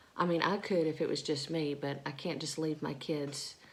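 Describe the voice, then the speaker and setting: A woman speaks quietly at a moderate pace. Her pitch is very deep and low, her intonation monotone and flat. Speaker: vlogger, stay-at-home mom. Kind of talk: casual vlog talk. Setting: at home, early morning. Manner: speaking quietly; halting, many fillers.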